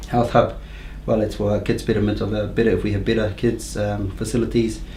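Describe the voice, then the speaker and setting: A man talks at a fairly quick pace. Audible room echo and noticeable background noise surround his voice. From New Zealand, Rotorua. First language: Māori. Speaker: council candidate. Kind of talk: interview. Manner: halting, many fillers.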